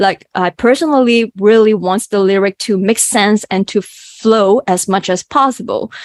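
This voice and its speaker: With a Cantonese accent, a woman speaks at a moderate pace with hardly any pauses, a fairly high pitch and ordinary pitch variation, in a dry, close sound with no echo. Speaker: mathematician and songwriter. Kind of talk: interview. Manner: halting.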